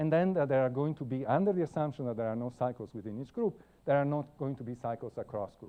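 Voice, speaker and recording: In an Italian accent, a man speaks at a very fast pace and medium pitch, with hardly any pauses. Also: ordinary pitch variation. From Italy. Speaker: computer science professor. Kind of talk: lecture. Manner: halting, many fillers.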